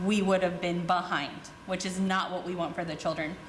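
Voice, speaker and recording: A woman talks at a fairly quick pace and a fairly low pitch, in a monotone, flat intonation. Noticeable background noise and audible room echo fill the recording. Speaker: teacher and parent commenting at board meeting. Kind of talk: public comment speech. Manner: fast.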